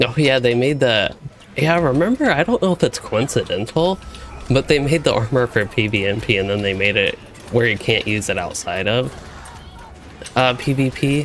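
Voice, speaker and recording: Over noticeable background noise, a man with an American accent talks at a moderate pace, leaving long, frequent pauses. His pitch is medium and his intonation lively. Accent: comments vary: Asian, Canadian. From US South, Louisville, Kentucky. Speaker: gaming streamer. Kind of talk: live gameplay stream chat. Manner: casual, rambling with fillers.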